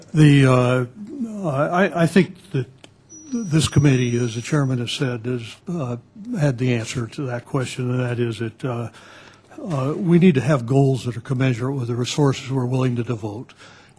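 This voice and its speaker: At a moderate pace, the talking carries on with noticeable background noise behind it. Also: man, medium pitch for a man, ordinary pitch variation. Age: 70s. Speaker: expert witness. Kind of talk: congressional hearing testimony. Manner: halting.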